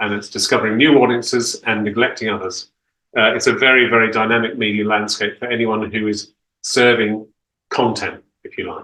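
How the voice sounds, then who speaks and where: Talking at a fairly quick pace, a man with a British accent uses a bright, sharp, medium-pitched voice in a flat monotone. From Australia, Sydney. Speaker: opera conductor and company director. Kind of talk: talk to an audience over video. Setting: video call. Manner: articulate, measured.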